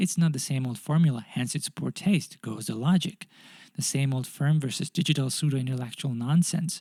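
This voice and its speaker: Fairly high-pitched for a man, his voice has a dark, mellow tone, somewhat breathy, with lively intonation at a fairly quick pace and a dry, close sound with no echo. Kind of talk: audiobook short story reading.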